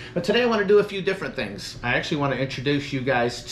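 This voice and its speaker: There is noticeable noise in the background. A man's voice comes through. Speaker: gig delivery driver vlogger. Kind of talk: casual vlog chat. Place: home room. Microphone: phone near.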